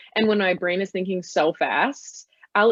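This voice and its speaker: A woman talks at a moderate pace with a normal speaking voice. Her pitch is medium. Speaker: photographer. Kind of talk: interview.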